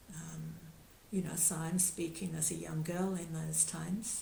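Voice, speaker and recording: Over audible room echo, a woman speaks very slowly in a fairly low pitch, her dark, mellow tone carrying vocal fry. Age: 70s. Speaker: yoga teacher. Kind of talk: talk. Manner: halting.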